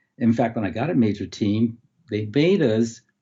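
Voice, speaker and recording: At a moderate pace and medium pitch, a man talks in a somewhat breathy voice. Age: 70s. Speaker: umpire and retired high school educator. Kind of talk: casual interview chat.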